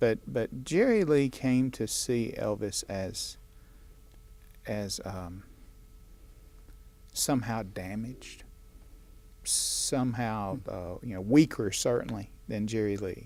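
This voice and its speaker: A very slow delivery with long, frequent pauses, in a Southern US accent. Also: man. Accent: Southern American. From northeastern Alabama. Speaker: author. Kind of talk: interview answer. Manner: storytelling.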